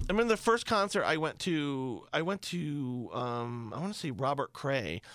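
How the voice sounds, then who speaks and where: With an American accent, a man speaks at a moderate pace. His fairly high voice moves in very wide pitch swings. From upstate New York, small town near Pennsylvania border. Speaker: radio broadcaster. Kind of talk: casual chat.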